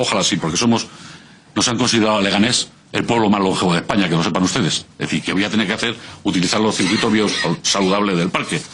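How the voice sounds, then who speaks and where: Over noticeable background noise, a man talks at a very fast pace in a fairly low voice with ordinary pitch variation. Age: 60s. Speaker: civic association representative. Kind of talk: parliamentary testimony. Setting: regional parliament committee hearing.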